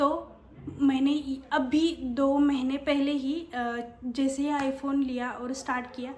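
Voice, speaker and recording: A woman's high-pitched, monotone, flat voice amid noticeable background noise and audible room echo. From Maharashtra, India. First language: Marathi (speaking Hindi). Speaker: YouTuber and office worker. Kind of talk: casual vlog talk. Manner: hesitant, many fillers.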